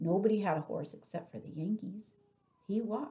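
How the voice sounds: This is a natural reading voice. It shows ordinary pitch variation.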